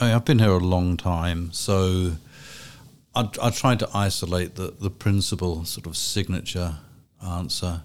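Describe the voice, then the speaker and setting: In an English accent, a man speaks at a fairly slow pace with a very deep, low pitch and ordinary variation. The recording is very clean, with a silent background. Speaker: history professor. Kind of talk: academic panel conversation.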